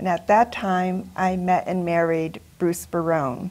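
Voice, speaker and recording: In an American accent, a woman with an unremarkable speaking voice and medium pitch talks at a moderate pace. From western Massachusetts (West Springfield). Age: 60s. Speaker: retired HR manager, volunteer. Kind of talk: TV interview.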